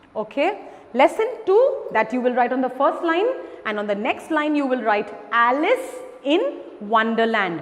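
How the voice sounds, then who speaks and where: Lively intonation carries a woman's high-pitched voice at a fairly slow pace. Noticeable background noise runs underneath. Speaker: school teacher. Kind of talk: online lesson for children.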